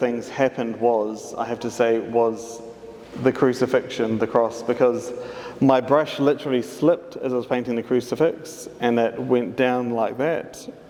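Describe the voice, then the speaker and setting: Noticeable background noise sits behind a man talking. His intonation is fairly even. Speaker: artist. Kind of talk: public talk.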